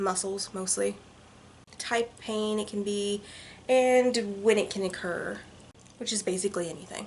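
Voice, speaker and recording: Noticeable background noise accompanies a woman speaking in a fairly high voice. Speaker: vlogger. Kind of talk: vlog monologue. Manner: fast.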